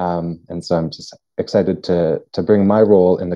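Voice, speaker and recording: A man with a very deep, low pitch speaks with fairly even intonation against a quiet background. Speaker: workshop co-presenter, language researcher. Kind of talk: online workshop facilitation. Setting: video call. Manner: halting, many fillers and repetitions. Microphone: video call.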